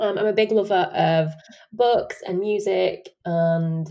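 This is a woman speaking. She has a Yorkshire accent. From Sheffield, Yorkshire. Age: 20s. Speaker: podcast host. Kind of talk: casual chat.

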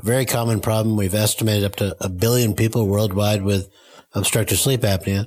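A man has a plain, everyday voice at medium pitch. He talks at a fairly quick pace. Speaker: sleep physician and researcher. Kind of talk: casual interview.

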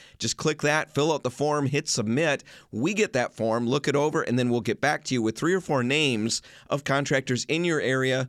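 A medium-pitched man with an American accent at a fairly quick pace, in a dry, close recording with no echo, very clean, with a silent background. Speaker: radio host. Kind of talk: casual chat. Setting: studio. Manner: fast talker.

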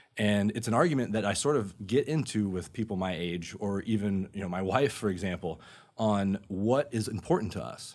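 Moderately paced with ordinary pitch variation, an ordinary speaking voice comes through in an American accent. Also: man, fairly low pitch for a man. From Florida, Orlando area (Sanford). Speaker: real estate lending manager. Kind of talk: interview on personal finance. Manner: casual, filler-heavy.

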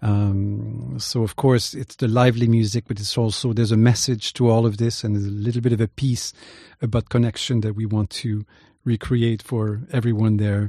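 In a quiet background with a dry, close sound and no echo, a man with a Quebec accent speaks at a moderate pace in a dark, mellow, somewhat breathy tone with fairly even intonation. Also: medium pitch for a man. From Quebec (Rimouski). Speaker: violinist and youth music ensemble director. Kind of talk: casual interview.

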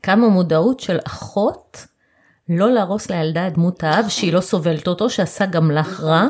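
A woman with a normal speaking voice talks at medium pitch and a fairly quick pace, keeping her loudness very even. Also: ordinary pitch variation. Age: 40s. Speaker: podcast host, family lawyer. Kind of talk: interview.

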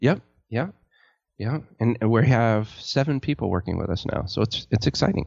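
A man speaks in a plain, everyday voice at medium pitch. His intonation is lively and his pace is moderate. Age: 40s. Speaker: web design business owner, army veteran. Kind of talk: casual interview.

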